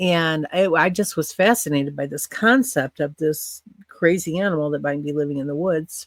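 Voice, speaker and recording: A woman speaks at a fairly slow pace in a fairly low voice with ordinary pitch variation. The sound is dry and close, with no echo. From US Midwest, northern Illinois (Quad Cities). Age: 60s. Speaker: podcast storyteller. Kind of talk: interview, personal recollection.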